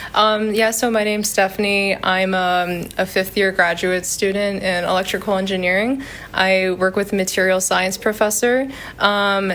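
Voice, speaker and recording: Against noticeable background noise, a woman with an American accent speaks at a moderate pace and medium pitch in a monotone, flat intonation. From United States. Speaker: PhD student, engineering researcher. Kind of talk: interview answers. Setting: university lab.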